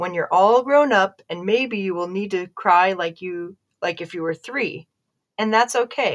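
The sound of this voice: Behind the unforced reading voice, the background stays quiet.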